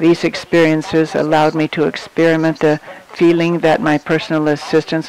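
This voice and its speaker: A man speaks at a fairly high pitch over noticeable background noise. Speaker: conference interpreter. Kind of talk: simultaneous interpretation of a conference talk. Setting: conference hall with audience. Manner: halting.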